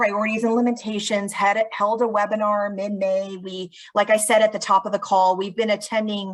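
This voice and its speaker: Speaking at a moderate pace, the woman keeps a medium pitch and a monotone, flat intonation. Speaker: state housing agency presenter. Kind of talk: webinar presentation.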